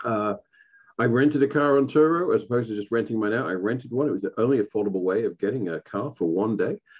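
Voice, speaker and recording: Pitch varying in an ordinary way, a man talks in a medium register for a man. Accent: English. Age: middle-aged. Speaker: podcast host and stand-up comedian. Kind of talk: casual solo podcast talk.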